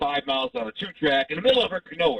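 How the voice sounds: A man at an extremely high pitch, with vocal fry, lively intonation, and a dry, close sound with no echo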